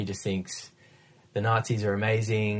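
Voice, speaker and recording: A man with an Australian accent, fairly low in pitch, at a moderate pace with monotone, flat intonation. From Western Australia. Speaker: podcast co-host, former radio host. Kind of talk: casual chat about films.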